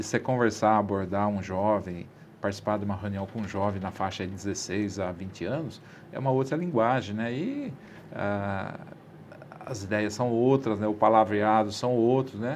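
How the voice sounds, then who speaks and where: A man speaks at a moderate pace with a fairly low pitch and ordinary pitch variation over noticeable background noise. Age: 60s. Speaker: city councillor. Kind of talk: interview. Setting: studio.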